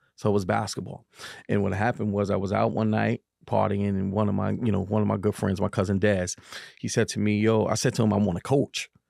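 In a New York accent, a man with a fairly low pitch talks very fast in a monotone, flat delivery with a dry, close sound and no echo. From New York, Harlem. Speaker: community advocate and youth basketball coach. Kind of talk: casual interview. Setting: studio.

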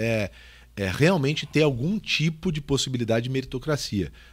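A man with an ordinary speaking voice and lively intonation, on a very clean recording with a silent background. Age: 40s. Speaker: podcast host, sales trainer. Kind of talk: casual interview chat.

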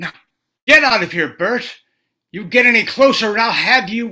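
A woman does a put-on character voice at a fairly high pitch and moderate pace. Her loudness swings widely. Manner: yelling.

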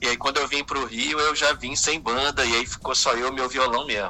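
At a moderate pace, this man speaks in a normal speaking voice, medium in pitch and ordinary in pitch variation. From Espírito Santo, Brazil. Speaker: singer-songwriter. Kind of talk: radio interview. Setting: phone call.

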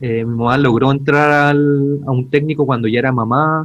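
A man speaks with a Chilean accent. His medium-pitched voice keeps fairly even intonation. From Chile, Santiago (Pudahuel). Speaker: podcast co-host, archaeologist. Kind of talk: casual chat.

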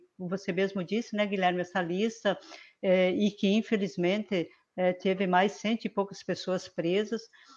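A woman with a normal speaking voice talks at a moderate pace in a medium pitch. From Paraná, Brazil (southwest). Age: 50s. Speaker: state politician. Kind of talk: online panel discussion. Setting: video call live stream.

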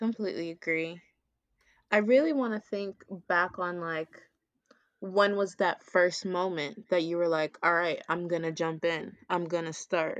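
An unremarkable speaking voice from a woman, fairly low in pitch with fairly even intonation and a fairly slow pace, in a dry, close sound with no echo and a quiet background. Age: 20s. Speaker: teacher. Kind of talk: casual chat.

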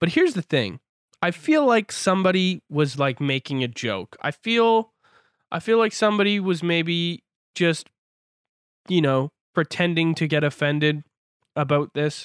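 In a very clean recording with a silent background and a dry, close sound with no echo, a man with a Canadian accent speaks at a moderate pace in a high pitch, his intonation lively and broken by long, frequent pauses. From Canada. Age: 20s. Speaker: podcast host. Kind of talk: casual chat. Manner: animated.

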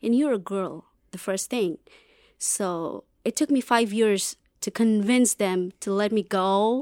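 In a very clean recording with a silent background and a dry, close sound with no echo, a woman speaks at a medium pitch. She goes at a very slow pace with ordinary pitch variation. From West Bengal, India. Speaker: graduate student. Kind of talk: interview.

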